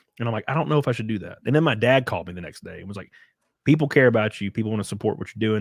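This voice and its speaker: At a very fast pace, a man with a Southern US accent talks in a fairly low pitch with big swings in loudness, on a very clean recording with a silent background. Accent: Southern US (Alabama), noticeable. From Alabama, US South. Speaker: streamer and online commentator. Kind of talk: casual chat. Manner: animated.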